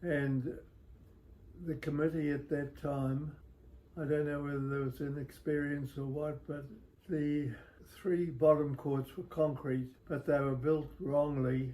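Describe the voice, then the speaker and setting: Very slow and somewhat breathy, a man speaks in a monotone, flat intonation with a fairly high pitch and a dark, mellow tone. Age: 80s+. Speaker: former tennis club member. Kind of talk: interview answer. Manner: slow, hesitant.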